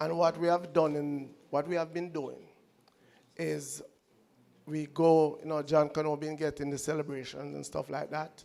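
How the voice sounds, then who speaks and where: At a moderate pace, a man with a fairly high pitch and a dark, mellow tone speaks in a monotone, flat intonation. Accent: Jamaican. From Jamaica, Clarendon. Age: 60s. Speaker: audience member. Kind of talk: audience question at lecture Q&A.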